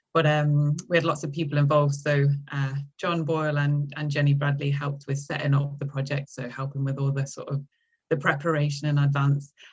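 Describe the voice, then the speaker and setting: Somewhat breathy, a woman speaks at a very deep, low pitch and a fairly quick pace with monotone, flat intonation. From English Midlands, between Derby and Nottingham. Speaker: university lecturer. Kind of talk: podcast interview. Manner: hesitant, many fillers.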